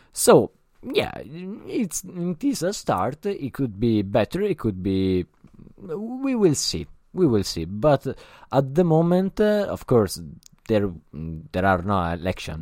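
Someone with an Italian accent speaks very slowly, with long, frequent pauses and very wide pitch swings. The recording is very clean, with a silent background. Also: man, medium pitch for a man. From Italy. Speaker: podcast host. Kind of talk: solo podcast monologue. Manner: halting, many fillers.

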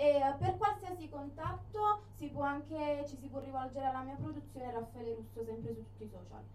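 Noticeable background noise surrounds a woman talking at a moderate pace. Her loudness swings widely, and she leaves hardly any pauses. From Naples, Italy. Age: 20s. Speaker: neomelodic singer. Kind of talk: radio interview.

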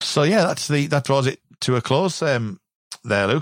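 With a British accent, a man talks at a medium pitch using lively intonation. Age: 40s. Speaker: podcast host. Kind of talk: casual chat.

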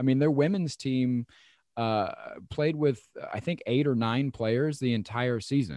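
This is a man with a plain, everyday voice and an American accent. He talks at a fairly slow pace in a medium pitch with ordinary pitch variation. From US Midwest. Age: 30s. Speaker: podcast host and comedian. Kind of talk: casual interview chat.

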